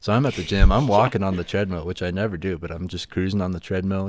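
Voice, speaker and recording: A man with an American accent and a very deep, low pitch, talking at a very fast pace with fairly even intonation on a very clean recording with a silent background. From West Virginia. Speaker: podcast co-host. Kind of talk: casual chat.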